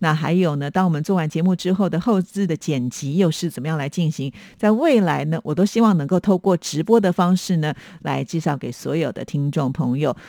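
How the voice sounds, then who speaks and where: Someone talks at a fairly quick pace with a Taiwanese accent. The recording is very clean, with a silent background. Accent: Taiwanese Mandarin. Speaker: radio host. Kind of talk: radio show replying to listener letters. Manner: many filler particles, chatty.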